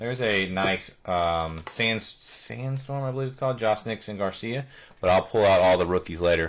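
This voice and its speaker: With a plain, everyday voice, a man speaks at a moderate pace and a fairly low pitch, with ordinary pitch variation. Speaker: card breaker, live stream host. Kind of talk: live card break commentary.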